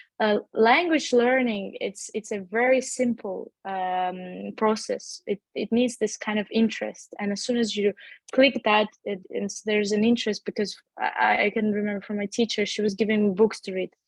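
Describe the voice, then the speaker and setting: This woman's fairly high voice is somewhat breathy, moving at a moderate pace with fairly even intonation. The sound is dry and close, with no echo. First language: not English. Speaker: language school founder and tutor. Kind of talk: webinar interview. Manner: halting, many fillers and repetitions.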